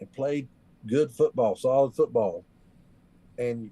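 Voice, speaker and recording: In a dark, mellow tone, this man talks with an American accent. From West Virginia, rural Appalachia. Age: 40s. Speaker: country musician and war veteran. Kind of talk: casual chat. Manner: animated.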